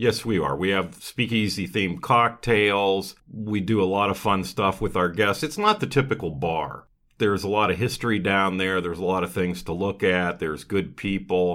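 On a very clean recording with a silent background, a man talks at a moderate pace in an ordinary speaking voice, with ordinary pitch variation and hardly any pauses. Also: fairly low pitch for a man. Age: 60s. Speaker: restaurant owner. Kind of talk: casual interview. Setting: podcast studio.

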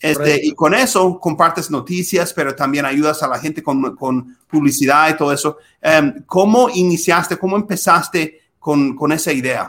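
A man with an English accent speaks at a moderate pace and a fairly high pitch, with ordinary pitch variation and hardly any pauses. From US Midwest, Minnesota. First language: English (speaking Spanish). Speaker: podcast host, lawyer. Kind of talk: casual interview. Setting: video call.

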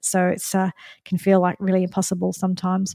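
A woman with an Australian accent, medium pitch and a dark, mellow tone, flat and monotone in intonation, in a very clean recording with a silent background and a dry, close sound with no echo. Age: 50s. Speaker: nutritionist and podcast host. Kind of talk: personal monologue. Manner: halting.

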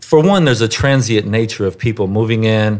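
In an American accent, a man talks in a normal speaking voice. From US South, Houston, Texas. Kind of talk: interview.

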